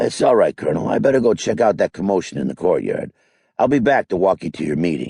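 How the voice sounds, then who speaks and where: A man puts on a raspy character voice with a fairly low pitch at a very fast pace. The sound is dry and close with no echo. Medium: read story. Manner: gruff, plainspoken.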